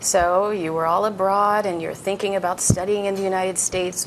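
Noticeable background noise sits behind a woman speaking. She talks at a fairly quick pace with fairly even intonation. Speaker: university international student advisor and moderator. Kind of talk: live moderated chat. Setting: studio with live video link. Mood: warm, encouraging. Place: studio. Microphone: lapel.

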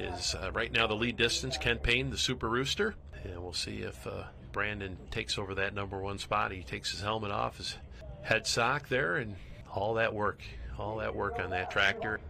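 Noticeable background noise fills the recording. Over it, a man keeps a moderate pace. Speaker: play-by-play commentator. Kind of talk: sports commentary.

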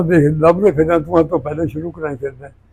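The man's voice sits fairly high in pitch, with a dark, mellow tone. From Punjab, India. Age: 80s+. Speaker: organic farmer, former soldier. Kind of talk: interview answer.

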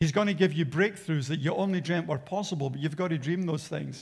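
A man's high-pitched voice with ordinary pitch variation against a quiet background. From Australia. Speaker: pastor. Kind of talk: sermon. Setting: church. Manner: animated. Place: church. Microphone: headset.

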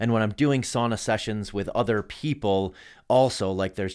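A man talks at a medium pitch and a moderate pace. His pitch varies in an ordinary way, and the background is quiet. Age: 40s. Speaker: endurance athlete and entrepreneur; podcast guest. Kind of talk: casual chat. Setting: studio. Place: studio. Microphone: studio mic.

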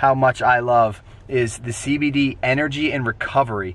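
The recording of this man has a dry sound with no echo. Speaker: travel vlogger. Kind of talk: casual vlog chat. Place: car.

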